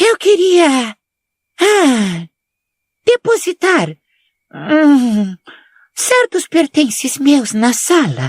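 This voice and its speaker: A shrill, put-on character voice from a woman, high in pitch, at a very slow pace with very wide pitch swings and long, frequent pauses. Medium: read story. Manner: mystical, affected, defensive.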